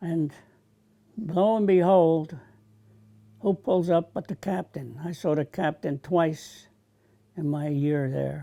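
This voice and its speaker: With a New Jersey accent, a man with a fairly high pitch and a dark, mellow tone talks at a very slow pace with long, frequent pauses, the sound dry and close with no echo. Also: ordinary pitch variation. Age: 80s+. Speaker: war veteran. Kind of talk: testimony.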